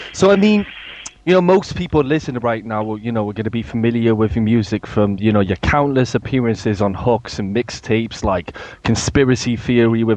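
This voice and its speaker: Over noticeable background noise, a man with a British accent speaks at a moderate pace, with medium pitch and ordinary pitch variation. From England. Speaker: interviewer. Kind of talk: interview.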